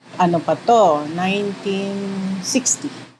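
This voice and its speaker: A woman speaks at a medium pitch. Noticeable background noise runs underneath. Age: 60s. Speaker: interviewee, shop owner's daughter. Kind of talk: interview.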